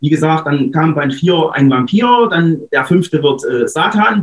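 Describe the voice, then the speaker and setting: A man with an eastern German accent at a moderate pace. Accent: eastern German, audible. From Saxony-Anhalt, eastern Germany. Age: 30s. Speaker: author. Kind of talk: interview.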